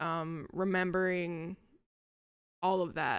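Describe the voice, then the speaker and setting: At a very slow pace, a woman with an American accent speaks at a fairly low pitch in a very clean recording with a silent background. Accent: American, noticeable to locals. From United States. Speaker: vlogger. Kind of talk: casual vlog ramble. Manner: hesitant, many fillers.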